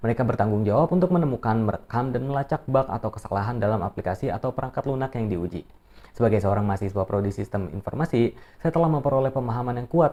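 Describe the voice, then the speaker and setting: Talking at a very fast pace, a man uses lively intonation. His voice is medium in pitch with a dark, mellow tone. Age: 20s. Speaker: university student. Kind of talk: self-introduction video, read script. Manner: formal.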